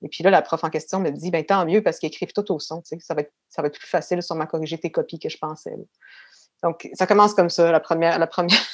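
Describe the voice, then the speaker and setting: A woman talks very fast in a fairly low voice, her loudness swinging widely while her intonation stays flat and monotone over a quiet background. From Quebec City suburbs (Beauport), Quebec. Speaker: actress and artistic career coach. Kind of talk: casual interview.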